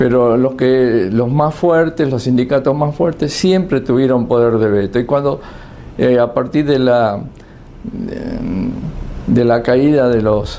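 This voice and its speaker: A man with a medium pitch speaks at a very slow pace, his loudness very even and his pitch variation ordinary, with noticeable background noise around him. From Argentina. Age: 70s. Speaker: political commentator. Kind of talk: monologue commentary. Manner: halting, many fillers and repetitions.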